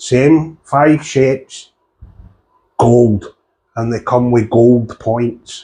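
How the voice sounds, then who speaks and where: This man's voice sits at a medium pitch with a dark, mellow tone and fairly even intonation. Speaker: darts coach and reviewer. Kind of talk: product review.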